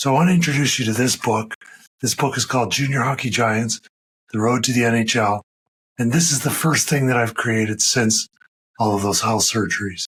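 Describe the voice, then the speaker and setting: A medium-pitched man at a fairly quick pace, very even in loudness, with ordinary pitch variation. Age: 50s. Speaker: photographer and filmmaker. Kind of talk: personal vlog monologue. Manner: halting.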